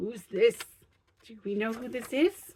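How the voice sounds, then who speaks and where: Putting on a character voice, a woman speaks at a fairly slow pace with ordinary pitch variation. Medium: read story. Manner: cheerful, chuckling.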